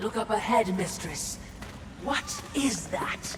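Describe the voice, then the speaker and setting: A cartoonish character voice at a fairly high pitch comes through with clear echo and clear background noise. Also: fairly slow pace. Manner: polite, dry.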